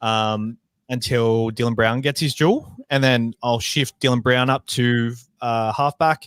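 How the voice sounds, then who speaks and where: In a very clean recording with a silent background and a dry, close sound with no echo, a man with a New Zealand accent speaks at a fairly slow pace, medium pitch, fairly even intonation and very even loudness. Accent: Kiwi. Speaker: fantasy sports podcast co-host. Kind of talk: casual chat.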